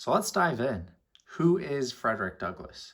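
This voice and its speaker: An ordinary speaking voice from a man, moderate in pace, lively in intonation. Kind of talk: motivational podcast storytelling.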